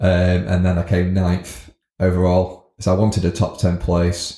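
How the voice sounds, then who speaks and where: A man's voice sits at a very deep, low pitch, with a dark, mellow tone and a somewhat breathy quality. The recording is very clean, with a silent background. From northern England (Scunthorpe, North Lincolnshire). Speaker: business owner. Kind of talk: interview. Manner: hesitant, many fillers.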